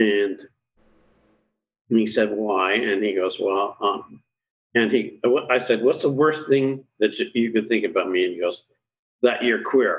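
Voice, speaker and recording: The speech moves at a fairly slow pace, with long, frequent pauses. Its pitch varies in an ordinary way. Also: man, medium pitch for a man. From Kingston, Ontario, Canada. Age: 60s. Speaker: retired real estate agent. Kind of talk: interview, personal storytelling. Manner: halting, frequent fillers and restarts.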